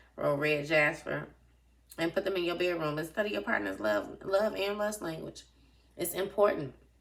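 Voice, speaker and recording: Using vocal fry, a woman speaks at a moderate pace with a fairly low pitch and very wide pitch swings. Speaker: tarot reader. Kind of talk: tarot reading.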